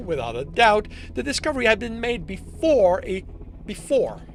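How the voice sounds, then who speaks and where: A man's pitch swings very widely at a moderate pace while noticeable background noise plays behind him. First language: French. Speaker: author streaming his own writing. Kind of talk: reading aloud own draft with editing comments. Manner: halting, self-correcting.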